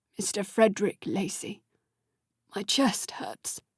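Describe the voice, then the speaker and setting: This is a put-on character voice, croaky and raspy. It moves at a fairly slow pace. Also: woman, medium pitch for a woman. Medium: read story. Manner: formal, old-fashioned politeness.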